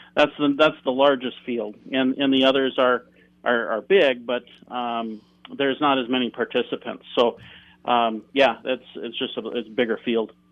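This man has a plain, everyday voice at medium pitch. He speaks at a moderate pace with fairly even intonation. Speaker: shooting team coach and father. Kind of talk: interview. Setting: phone or video call.

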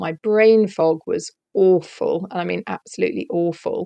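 The sound is dry and close, with no echo. A woman speaks with a British accent. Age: 50s. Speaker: leadership coach and therapist. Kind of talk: casual interview.

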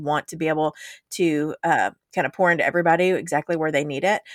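A woman's fairly low voice, fairly quick and fairly even in intonation, an unremarkable speaking voice on a very clean recording with a silent background and a dry, close sound with no echo. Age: 40s. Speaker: podcast co-host, business coach. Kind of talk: casual chat.

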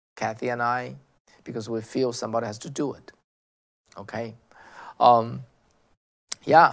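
A man with a Chinese accent speaks at medium pitch with fairly even intonation. His loudness swings widely, and he takes long, frequent pauses. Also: moderate pace. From China. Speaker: political commentary host. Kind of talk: monologue commentary. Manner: halting, many fillers and repetitions.

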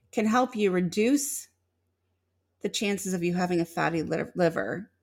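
A woman with an American accent has an ordinary speaking voice, medium in pitch with ordinary pitch variation. She speaks at a moderate pace in a very clean recording with a silent background. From Illinois. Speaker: podcast host. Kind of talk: live-stream monologue with chat. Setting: live stream.

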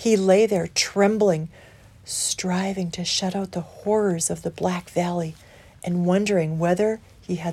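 Fairly even intonation marks this unforced reading voice.

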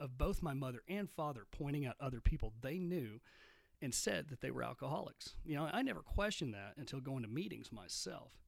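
A man with a West Texas accent speaks at a fairly quick pace and medium pitch. His intonation is lively. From Texas, Midland. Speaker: podcast host, recovering alcoholic. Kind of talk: solo monologue podcast.

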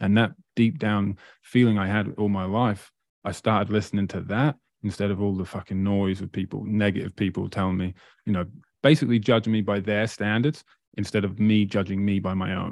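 A man talks at a fairly quick pace with an East Anglian accent. His pitch sits fairly low. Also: fairly even intonation. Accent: English (East Anglia). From England, Great Yarmouth. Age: 30s. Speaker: motivational speaker and entrepreneur. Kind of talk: casual interview.

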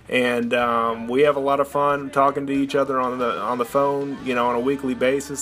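A man with an American accent speaks at a moderate pace in a medium pitch, with noticeable background noise behind him. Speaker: podcast host. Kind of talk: podcast intro monologue.

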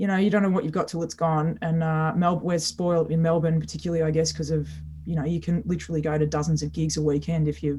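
A woman's somewhat breathy, very deep and low voice with a dark, mellow tone, monotone, flat intonation and an Australian accent. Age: 40s. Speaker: singer-songwriter. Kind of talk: interview. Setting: remote call from home.

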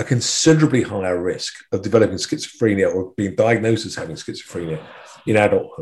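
The voice belongs to a man. It carries a somewhat breathy quality. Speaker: psychiatry professor. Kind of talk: interview. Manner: halting, many repetitions.

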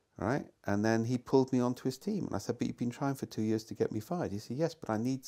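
A man speaks very fast with a Welsh accent at a medium pitch. His tone is dark and mellow, and the recording is very clean with a silent background. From Wales. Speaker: management consultant and thinker. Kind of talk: conversational interview. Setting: outdoors.

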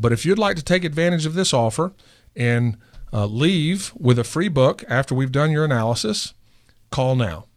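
This man has a normal speaking voice with a fairly high pitch and lively intonation. He talks at a moderate pace on a very clean recording with a silent background. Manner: earnest, salesy and persuasive, with urgent calls to act now; confident and reassuring, frank about being for-profit, promising it won't cost a nickel.

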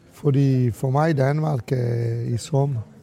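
A man's voice with fairly even intonation. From Italy. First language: Italian (speaking Danish). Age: 60s. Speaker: restaurateur. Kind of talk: interview. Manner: halting with many fillers.

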